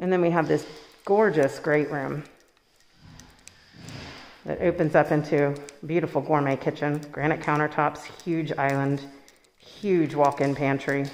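The speech moves at a fairly slow pace with long, frequent pauses. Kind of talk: home tour narration. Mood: upbeat, enthusiastic. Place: home room. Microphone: phone near.

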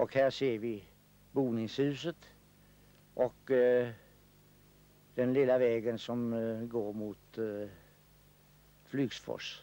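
A man's dark, mellow voice at medium pitch, very slow in pace, with long, frequent pauses and fairly even intonation. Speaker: local history film commentator. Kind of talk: local film commentary, narrating footage of the village. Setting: voice-over on a 1960s film. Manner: unhurried, formal and old-fashioned, with hesitant 'eh' fillers; ad-libbed, describing scenes as they appear, mildly humorous.

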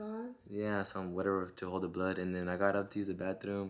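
This is a man's voice. His pitch sits fairly low. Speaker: vlogger. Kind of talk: casual vlog chat. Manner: numb-mouthed, groggy speech after surgery. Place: home room. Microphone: phone near.

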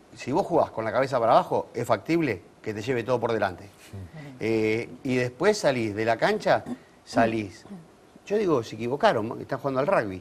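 Fairly quick delivery with lively intonation. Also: man. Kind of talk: interview answer. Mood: nostalgic, lively. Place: studio. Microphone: lapel.

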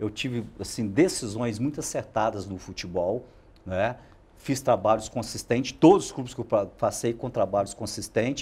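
A somewhat breathy voice with a dark, mellow tone, ordinary pitch variation and a moderate pace. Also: man, medium pitch for a man. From Minas Gerais, Brazil. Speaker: football coach. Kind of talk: interview. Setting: studio. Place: studio. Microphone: lapel.

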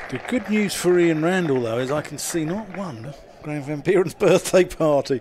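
This man's voice sits fairly high and varies in pitch in a normal way, with noticeable noise in the background. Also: moderate pace. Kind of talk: live commentary.

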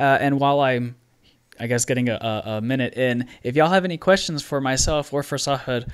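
A man with an ordinary speaking voice at a medium pitch, talking at a fairly quick pace. His intonation is fairly even over a quiet background. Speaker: podcast host. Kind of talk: casual interview. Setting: video call. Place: home room. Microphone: studio mic.

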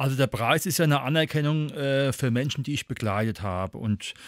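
Over a silent background in a very clean recording, a man with a plain, everyday voice speaks at a fairly quick pace with lively intonation. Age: 50s. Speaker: educator and volunteer prevention trainer. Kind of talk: interview.

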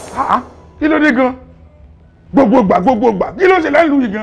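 A loud, put-on character voice with vocal fry at a fast pace, faint music in the background. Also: man, extremely high pitch for a man, lively intonation.

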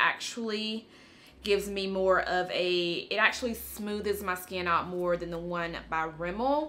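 A woman's bright, sharp tone at a fairly slow pace, with ordinary pitch variation. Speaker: beauty YouTuber. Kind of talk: tutorial. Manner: casual, chatty with filler words. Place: home room.

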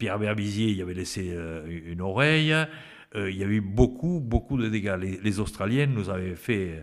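Over a quiet background, a man with a fairly low pitch talks at a moderate pace with lively intonation. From French Pyrenees; France. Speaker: retired rugby player; podcast guest. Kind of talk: interview. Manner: halting. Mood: nostalgic storytelling. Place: home room. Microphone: studio mic.

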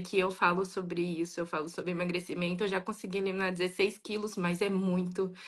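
A woman talks fairly quickly while the background stays quiet. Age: 20s. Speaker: viewer on live call. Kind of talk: personal testimony. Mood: earnest, personal. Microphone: video call.

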